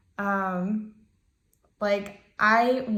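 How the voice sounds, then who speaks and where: With an American accent, the speaker keeps a fairly even intonation while audible room echo surrounds the voice. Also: woman. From Ohio, US Midwest. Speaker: navy sailor and student. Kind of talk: self-introduction video. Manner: casual with many fillers.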